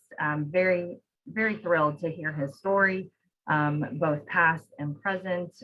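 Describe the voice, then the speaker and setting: A woman with an unremarkable speaking voice talks fairly slowly in a fairly low pitch, with ordinary pitch variation. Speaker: program host. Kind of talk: event introduction.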